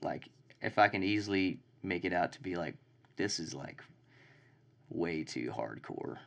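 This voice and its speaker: In a Texan accent, the speaker goes at a fairly slow pace with long, frequent pauses, lively intonation and vocal fry. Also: man, very deep, low pitch for a man. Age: 20s. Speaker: songwriter and band member. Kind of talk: casual chat. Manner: casual, profane.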